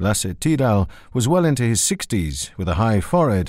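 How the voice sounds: Natural voice reading a passage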